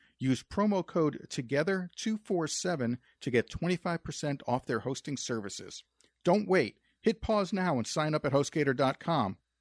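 Against a quiet background, a man with an unremarkable speaking voice talks at a moderate pace, fairly high in pitch and with lively intonation. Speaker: podcast host. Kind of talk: casual interview chat.

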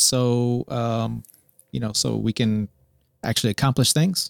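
A man's voice, dry and close with no echo. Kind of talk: casual chat. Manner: joking.

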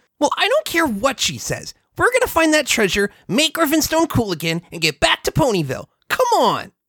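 A put-on character voice, high in pitch, delivered at a moderate pace. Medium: read story. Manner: brash, confident.

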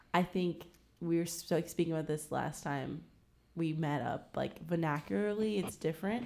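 Speaking with an American accent, a woman uses a normal speaking voice, fairly low in pitch, with ordinary pitch variation and a moderate pace. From Virginia, Williamsburg area. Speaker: podcast guest. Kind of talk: casual discussion. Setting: in-person recording.

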